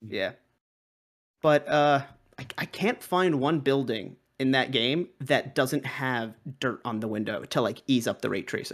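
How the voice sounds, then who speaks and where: A man's medium-pitched voice at a fairly slow pace, with ordinary pitch variation and long, frequent pauses. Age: 20s. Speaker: podcast co-host. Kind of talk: casual chat.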